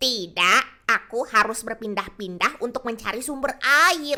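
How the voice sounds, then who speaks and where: Using a put-on character voice, a woman speaks at a fairly slow pace and a fairly high pitch. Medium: read story. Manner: quiet, sly.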